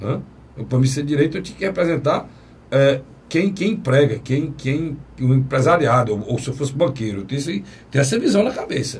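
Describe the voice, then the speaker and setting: Speaking fairly quickly with lively intonation, a man uses an unremarkable speaking voice pitched fairly high. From Brazil. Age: 50s. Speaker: TV talk show host. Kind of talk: political talk show discussion.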